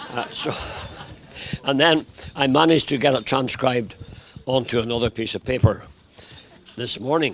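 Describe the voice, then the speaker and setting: The speaker has a Northern Irish accent and talks at a moderate pace. Long, frequent pauses break the speech over noticeable background noise. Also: man, medium pitch for a man. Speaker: bride's grandfather giving a wedding speech. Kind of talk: wedding speech with poem reading. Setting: wedding reception with audience.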